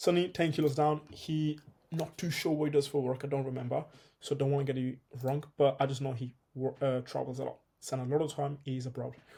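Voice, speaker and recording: The tone is dark and mellow, and the voice is somewhat breathy. Delivery comes at a fairly quick pace with monotone, flat intonation. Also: man, fairly high pitch for a man. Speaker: fitness coach. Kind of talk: tutorial. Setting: home video recording, one take. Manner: fast; casual.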